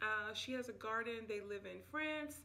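A woman speaks at a moderate pace. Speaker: home vlogger. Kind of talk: casual vlog chat. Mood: relaxed, friendly. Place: home room. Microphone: phone near.

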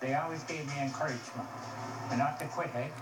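Speaking fairly quickly, a man is heard against noticeable background noise. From Cape Breton, Nova Scotia. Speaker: amateur hockey player. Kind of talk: interview answer. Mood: cheerful, content. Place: hall.

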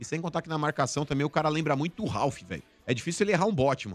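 Talking at a very fast pace, a man uses an animated tone and lively intonation. The sound is dry, with no echo. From Brazil. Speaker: football pundit. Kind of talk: casual chat. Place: studio. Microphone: studio mic.

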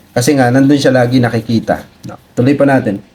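A man's normal speaking voice, medium-pitched, at a moderate pace. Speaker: video creator commenting on viral content. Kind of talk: casual commentary reacting to clips. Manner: conversational, explanatory.

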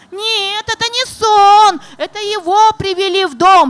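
A woman talks at a very slow pace in an extremely high pitch. Her intonation is lively. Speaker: poet and writer. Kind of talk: reading poetry and talk at a literary presentation. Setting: stage, festival panel. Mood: solemn, declamatory recitation. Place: stage. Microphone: handheld.

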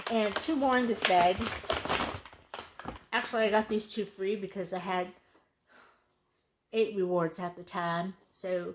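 A woman speaks at a fairly slow pace, with long, frequent pauses. Her pitch varies in an ordinary way over light background noise. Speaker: beauty haul vlogger. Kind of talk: casual vlog chat. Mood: relaxed, self-mocking. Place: home room. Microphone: phone near.

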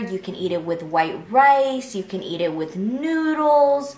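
Audible room echo surrounds a woman's voice. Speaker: food vlogger. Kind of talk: casual vlog chat. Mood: cheerful, excited. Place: home room.

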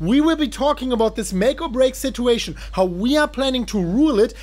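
The man's pitch shifts in an ordinary way as he talks. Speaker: channel host. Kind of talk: hyped intro commentary. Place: home room.

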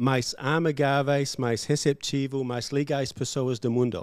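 Someone talks at a very slow pace in a dry sound with no echo. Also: man, quiet background. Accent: English. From Australia. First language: English (speaking Portuguese). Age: 50s. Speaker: English teacher, former farmer; podcast guest, English teacher. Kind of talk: casual interview chat. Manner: halting, with fillers. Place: studio. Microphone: studio mic.

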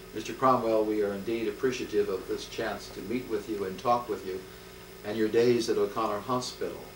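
Audible room echo and light background noise surround a man's voice. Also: fairly quick pace. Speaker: interviewer. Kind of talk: polite oral history interview. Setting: home interview. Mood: formal, polite. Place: home room. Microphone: old recording.

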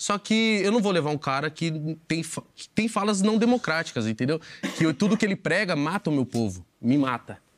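The man talks at a fairly quick pace and a fairly high pitch. His pitch swings very widely over a quiet background. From Osasco, São Paulo, Brazil; São Paulo, Brazil. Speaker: podcaster. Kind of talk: casual interview chat. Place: studio.

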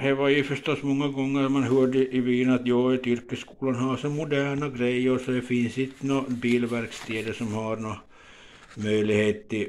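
The delivery comes at a moderate pace. Intonation stays monotone and flat. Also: man. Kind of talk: casual reminiscing commentary. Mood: nostalgic, calm. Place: home room. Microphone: phone near.

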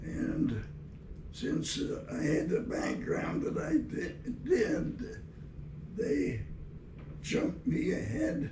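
A man at a very slow pace, with long, frequent pauses and noticeable background noise. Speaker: war veteran. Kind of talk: interview answer. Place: office.

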